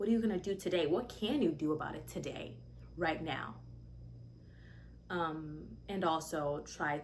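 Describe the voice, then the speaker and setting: A woman speaks in a very deep, low voice with vocal fry, and some room echo can be heard. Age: 20s. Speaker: vlogger, young mother and aspiring musician. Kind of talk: casual chat. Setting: sit-down video, mic not connected. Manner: animated, conversational.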